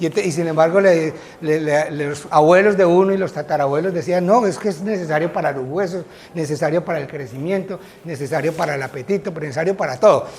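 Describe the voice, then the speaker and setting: Over noticeable background noise, a man speaks at a fairly quick pace. His pitch is high, with ordinary variation. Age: 60s. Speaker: physician, guest lecturer. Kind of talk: lecture. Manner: conversational, with filler hesitations.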